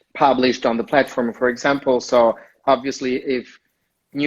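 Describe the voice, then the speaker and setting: Flat, monotone intonation comes at a fairly slow pace in an Italian accent. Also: man. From Italy (Rome). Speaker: community manager. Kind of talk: interview. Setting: Instagram live video call.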